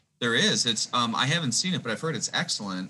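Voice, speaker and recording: Talking at a very fast pace, a man with a slight Wisconsin accent uses lively intonation and a bright, sharp tone. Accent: Wisconsin accent, slight outside Wisconsin. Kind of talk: casual chat.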